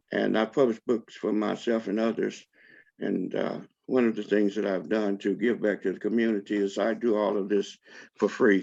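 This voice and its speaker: Over a quiet background, a man speaks at a moderate pace in a fairly low pitch with flat, monotone intonation. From Alabama. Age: 70s. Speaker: author and publisher. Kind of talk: lecture.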